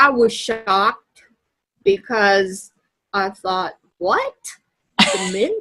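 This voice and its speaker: Pausing long and often, a woman speaks at a very slow pace with a medium pitch and fairly even intonation. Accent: Kentucky. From US South, Louisville, Kentucky. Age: 60s. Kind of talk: interview. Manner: halting.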